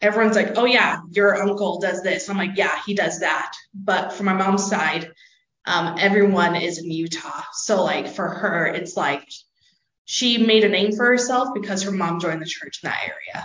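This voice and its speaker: A woman of medium pitch at a moderate pace, ordinary pitch variation, and audible room echo. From Southern California. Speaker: student. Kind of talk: interview testimony.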